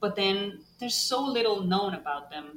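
Against noticeable background noise, a woman with a Costa Rican accent speaks at a fairly slow pace in a medium pitch. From Costa Rica, San José. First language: Spanish. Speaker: bat ecologist and professor. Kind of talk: interview.

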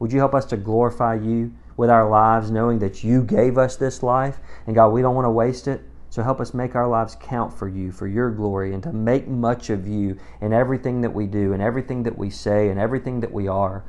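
A man with fairly even intonation moves at a fairly quick pace, his pitch medium. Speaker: pastor. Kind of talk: fervent prayer, led aloud for a congregation. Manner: earnest, impassioned, intimate.

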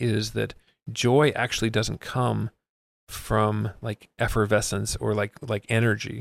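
At a fairly slow pace, a man talks with vocal fry in a very clean recording, the background silent and the sound dry and close with no echo. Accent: American. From Miami, US. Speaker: nonprofit executive director. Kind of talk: casual interview chat. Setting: in person, recording in a room.

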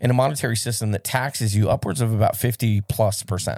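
On a very clean recording with a silent background, a man talks fairly quickly in an animated, somewhat breathy voice at medium pitch. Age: 40s. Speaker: podcast host, pastor. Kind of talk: casual chat.

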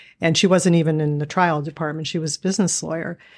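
A woman with an American accent talks at a fairly quick pace in a fairly low pitch, using ordinary pitch variation and an unremarkable speaking voice. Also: very clean recording, silent background. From Erie, Pennsylvania. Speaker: trial lawyer. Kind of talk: interview conversation.

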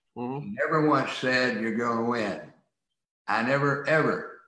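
A man's medium-pitched voice with an American accent and a bright, sharp tone, in audible room echo. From rural US. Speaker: attorney and author. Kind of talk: interview.

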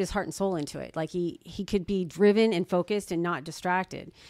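A woman with an unremarkable speaking voice talks at a medium pitch with ordinary pitch variation. The recording is very clean, with a silent background. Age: 50s. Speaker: real estate agent. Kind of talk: casual chat.

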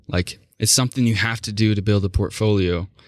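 With an American accent, this man talks at a moderate pace and a fairly low pitch, his intonation fairly even, on a very clean recording over a silent background. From Oklahoma, small town. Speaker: photographer. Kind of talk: casual chat.

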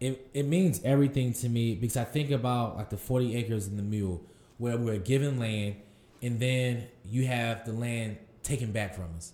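With an American accent, a man speaks at a moderate pace and medium pitch, using ordinary pitch variation over noticeable background noise. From Durham, North Carolina. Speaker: farmer and farm founder. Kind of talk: interview.

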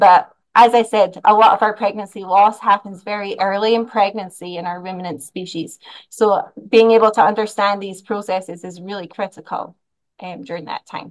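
The speaker has a Scottish accent and fairly even intonation. Loudness swings widely at a moderate pace. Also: woman, medium pitch for a woman. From Scotland. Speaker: animal science professor. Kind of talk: interview.

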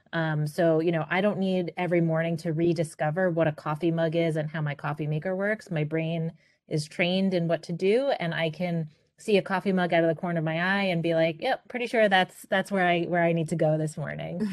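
A woman's unremarkable speaking voice with an American accent, fairly low in pitch, fairly even in intonation and fairly quick in pace, over a quiet background. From Queens, New York. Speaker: consultant, business founder. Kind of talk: interview.

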